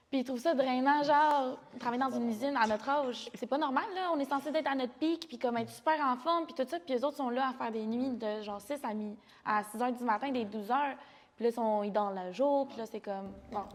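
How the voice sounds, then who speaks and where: Speaking at a very fast pace, a woman with a high pitch uses ordinary pitch variation. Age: 20s. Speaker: podcast guest. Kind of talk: casual chat.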